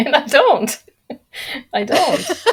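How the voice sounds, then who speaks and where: A woman speaks with a non-native accent. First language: not English. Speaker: industry expert guest. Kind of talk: podcast interview. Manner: slow; calm and quiet.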